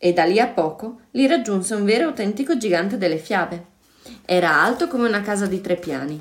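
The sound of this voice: The voice reads in an unforced way.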